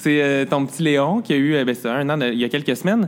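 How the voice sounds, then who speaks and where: Here a man with an ordinary speaking voice talks at a moderate pace, his pitch fairly high with ordinary variation. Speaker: podcast host. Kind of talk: interview. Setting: restaurant.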